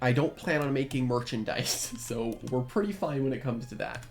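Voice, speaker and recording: Quiet speech moves at a moderate pace with music playing in the background. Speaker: gaming youtuber. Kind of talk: gameplay commentary. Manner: quiet, subdued; casual, filler-heavy.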